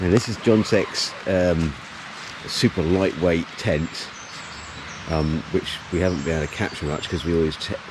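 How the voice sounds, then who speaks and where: A man with an English accent speaks in a very deep, low voice at a moderate pace, his intonation fairly even. He leaves long, frequent pauses, and there is noticeable background noise. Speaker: hiking vlogger. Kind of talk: casual vlog narration. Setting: outdoors. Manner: loud.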